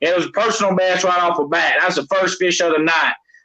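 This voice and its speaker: In a Southern US accent, a man projects a raised voice at a high pitch. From Tennessee, Knoxville. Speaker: catfish angler. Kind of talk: casual chat.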